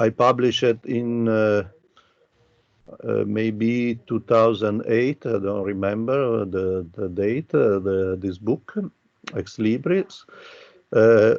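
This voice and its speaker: Speaking with an Italian accent, a man at a medium pitch goes at a very slow pace with long, frequent pauses. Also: ordinary pitch variation. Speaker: architecture professor. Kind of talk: lecture. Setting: video call. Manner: halting, many fillers.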